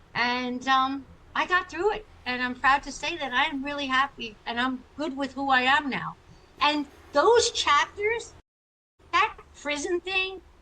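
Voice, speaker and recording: A woman with an American accent projects a raised, high-pitched voice with a bright, sharp tone. Her intonation is lively and her pace fairly slow. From US Northeast (Long Island, New York). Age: 60s. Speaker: chiropractor and author. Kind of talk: interview testimony. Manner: animated.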